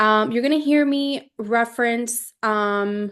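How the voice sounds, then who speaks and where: This woman has an ordinary speaking voice with a fairly high pitch and ordinary pitch variation. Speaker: travel agent trainer. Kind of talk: training webinar. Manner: casual, many fillers.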